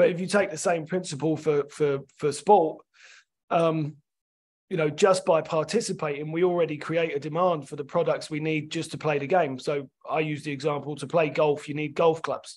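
In a London accent, a man talks at a moderate pace with a fairly high pitch. The recording is very clean, with a silent background. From London, England. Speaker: sports development scientist and rugby coach. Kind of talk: podcast interview.

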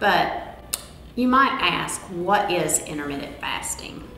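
A woman speaks at a fairly slow pace in a room with audible echo. Light background noise sits underneath. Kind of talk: informational talk. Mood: warm, upbeat.

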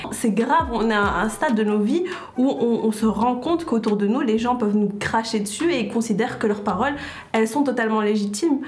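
Her loudness very even, a woman talks fairly quickly at a fairly high pitch with ordinary pitch variation. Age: 20s. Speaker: graduate student. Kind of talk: group discussion. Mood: earnest, indignant. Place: studio. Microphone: lapel.

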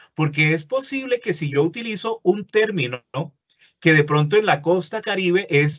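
Here a man speaks at a high pitch. The background is quiet. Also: moderate pace. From Colombia, Caribbean coast. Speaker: university lecturer. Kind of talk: webinar lecture. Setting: online webinar. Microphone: webcam.

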